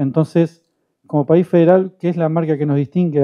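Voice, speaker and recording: With fairly even intonation, a man speaks quite quickly in an ordinary speaking voice. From southern Santa Fe, Argentina. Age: 50s. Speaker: panelist on communication. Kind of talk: panel talk.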